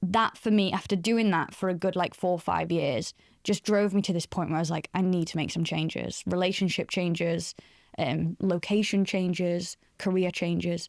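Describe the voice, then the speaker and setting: A woman speaks in a northern English accent at a moderate pace, with a fairly low pitch and very even loudness. The recording is very clean with a silent background and a dry, close sound with no echo. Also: fairly even intonation. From northern England, Doncaster. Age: 30s. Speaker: career expert. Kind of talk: podcast interview. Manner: conversational, many fillers.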